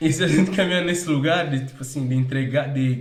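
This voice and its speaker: Over noticeable background noise and audible room echo, a man speaks in a fairly high pitch with an animated tone and ordinary pitch variation. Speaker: worship leader. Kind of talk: casual chat. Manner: fast.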